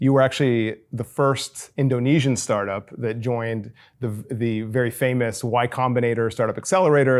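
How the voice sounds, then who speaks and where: A man talks in an ordinary speaking voice at a moderate pace, medium in pitch with ordinary pitch variation. The recording is very clean, with a silent background. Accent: American. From United States. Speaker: podcast host and startup founder. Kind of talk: interview. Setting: guest's home.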